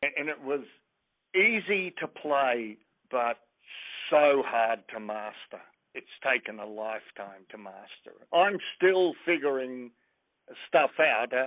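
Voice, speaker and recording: With an Australian accent, a man speaks at a very slow pace with long, frequent pauses, lively intonation and big swings in loudness. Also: medium pitch for a man. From Australia, Brisbane. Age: 70s. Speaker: blues musician. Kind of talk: interview.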